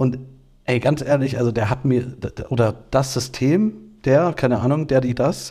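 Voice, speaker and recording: A man speaks at a very slow pace with a dark, mellow tone. His voice is somewhat breathy. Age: 30s. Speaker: podcast co-host. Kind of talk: casual chat.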